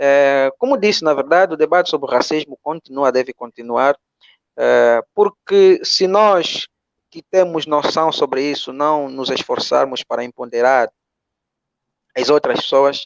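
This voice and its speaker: This man has an Angolan accent and a fairly high pitch, with ordinary pitch variation. He speaks at a fairly slow pace, with a dry, close sound and no echo. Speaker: philosophy teacher. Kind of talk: online panel closing remarks. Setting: video call. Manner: mumbled. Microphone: poor internet connection.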